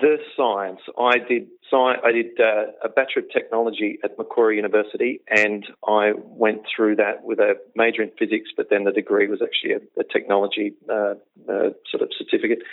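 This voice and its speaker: A man with an Australian accent talks fairly quickly. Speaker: health coach, former comedian. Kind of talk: interview. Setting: phone call.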